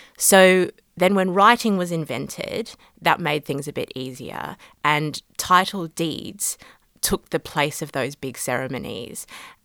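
With an Australian accent, a woman speaks at a fairly slow pace with a fairly low pitch and a bright, sharp tone. The recording is very clean with a silent background, dry and close with no echo. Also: lively intonation. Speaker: law lecturer. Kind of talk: interview.

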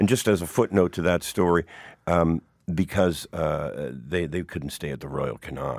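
Vocal fry in a Canadian accent, with ordinary pitch variation, a moderate pace, and a very clean recording over a silent background. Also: man, very deep, low pitch for a man. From Hamilton, Ontario, Canada. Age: 50s. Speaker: musician and author. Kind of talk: casual interview, storytelling.

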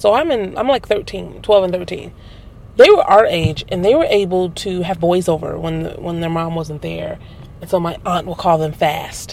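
Noticeable background noise runs under a woman's voice. She has an American accent and big swings in loudness. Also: moderate pace. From Milwaukee, US Midwest. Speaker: artist. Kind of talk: casual chat. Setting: in a car.

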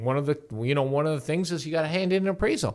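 This man has a Canadian accent. His pitch is fairly high. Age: 60s. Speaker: real estate lawyer. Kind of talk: podcast interview.

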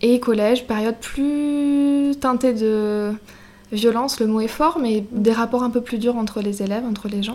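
Against noticeable background noise, a woman speaks at a fairly high pitch and a fairly slow pace, her intonation fairly even. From Brittany, France. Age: 20s. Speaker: shop owner. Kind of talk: interview.

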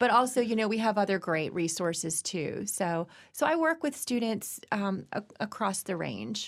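A woman speaks at a moderate pace with an American accent, medium pitch, lively intonation and vocal fry. The recording is very clean, with a silent background. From Virginia, US. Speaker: university dean. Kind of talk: interview.

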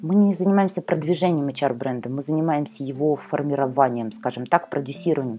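This woman's voice is very deep and low, with a dark, mellow tone and lively intonation. She moves at a fairly quick pace with hardly any pauses. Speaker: podcast host, communications consultant. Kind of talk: solo podcast monologue. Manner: fast.

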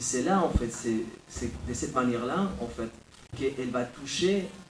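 Recorded with audible room echo, a man talks very slowly in a medium pitch with ordinary pitch variation. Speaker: writer and philosopher. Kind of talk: lecture.

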